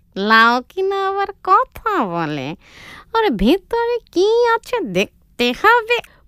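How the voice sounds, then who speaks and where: A cartoonish character voice at an extremely high pitch drags along at a very slow pace. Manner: greedy, blunt.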